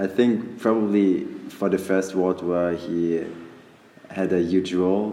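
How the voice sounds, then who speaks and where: A man speaks very slowly at a very deep, low pitch, with monotone, flat intonation. Noticeable background noise and audible room echo come through. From Germany, Munich. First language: German. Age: 20s. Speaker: exchange student. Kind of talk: interview. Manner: halting.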